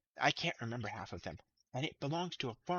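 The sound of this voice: A quiet background surrounds an unforced reading voice.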